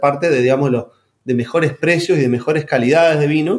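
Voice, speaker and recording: Speaking at a fairly quick pace, a man uses a normal speaking voice, fairly high in pitch, with ordinary pitch variation. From Argentina, San Juan. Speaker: winemaker and agronomist. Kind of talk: interview.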